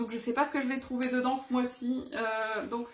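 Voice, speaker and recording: A loud woman's voice, high in pitch. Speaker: adult colouring hobby youtuber. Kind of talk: casual show-and-tell vlog.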